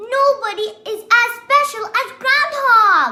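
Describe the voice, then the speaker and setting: A woman's squeaky, put-on character voice at an extremely high pitch, fairly slow in pace, with faint music in the background. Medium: read story.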